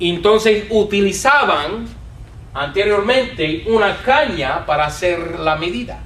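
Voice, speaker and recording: With audible room echo and noticeable background noise, a man speaks at a very slow pace with lively intonation. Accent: English. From United States. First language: English (speaking Spanish). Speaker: Bible teacher. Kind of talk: lecture.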